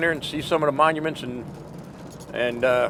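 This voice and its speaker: A man with an American accent speaks at a very fast pace with ordinary pitch variation. Noticeable background noise runs underneath. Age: 60s. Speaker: war veteran. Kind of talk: interview.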